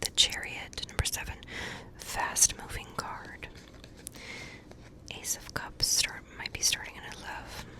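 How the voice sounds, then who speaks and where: There is noticeable background noise. Beneath it, a woman whispers very slowly. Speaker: ASMR creator and tarot reader. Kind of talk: whispered tarot card meanings being read out. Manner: whispered, soft, slow.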